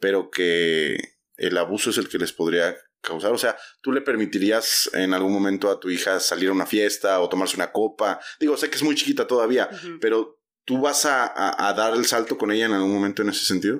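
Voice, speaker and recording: With a normal speaking voice, a man of fairly low pitch talks at a fairly quick pace using lively intonation. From Mexico, Oaxaca. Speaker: church podcast host. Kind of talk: casual interview.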